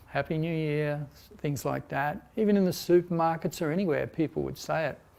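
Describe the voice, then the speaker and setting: Someone speaks at a moderate pace with an Australian accent. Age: 60s. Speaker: meditation and yoga teacher. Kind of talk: spiritual talk. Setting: online broadcast. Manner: hesitant, many fillers.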